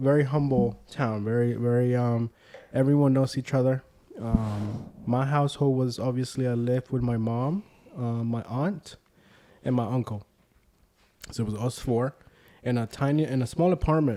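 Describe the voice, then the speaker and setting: This voice has a dark, mellow tone and a Spanish accent, moving at a moderate pace with ordinary pitch variation. Long, frequent pauses break up the speech. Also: man, medium pitch for a man. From Puerto Rico, San Juan (Santurce). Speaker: community leader. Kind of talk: casual interview chat.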